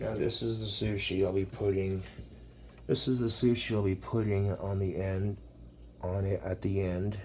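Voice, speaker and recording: Fairly low in pitch and somewhat breathy, a man talks at a moderate pace. His intonation stays fairly even. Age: 20s. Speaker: cooking video creator. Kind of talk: cooking tutorial. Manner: slurred.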